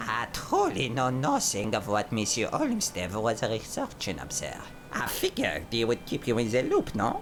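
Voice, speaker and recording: A man in a put-on character voice at a moderate pace, with clear background noise. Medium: video game. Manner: polite, formal, hesitant.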